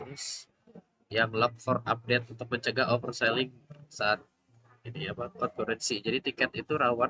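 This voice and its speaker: A soft-spoken man's voice of medium pitch, bright and sharp in tone, with fairly even intonation and a dry, close sound with no echo. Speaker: student presenting coursework. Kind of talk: class project presentation. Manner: halting.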